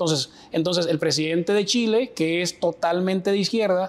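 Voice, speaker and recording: Showing ordinary pitch variation, a man speaks with a high pitch. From Dominican Republic. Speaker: political strategist and professor. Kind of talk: interview answer.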